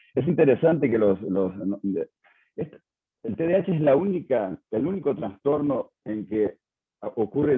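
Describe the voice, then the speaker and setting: A man speaks with lively intonation. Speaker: psychiatrist. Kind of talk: lecture. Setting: video call. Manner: halting, many fillers.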